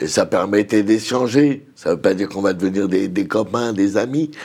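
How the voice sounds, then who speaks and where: A man speaks in an ordinary speaking voice at fairly low pitch. His pace is moderate and his pitch variation ordinary. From Nanterre, Paris region. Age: 60s. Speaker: community activist and social worker. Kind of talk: TV panel discussion.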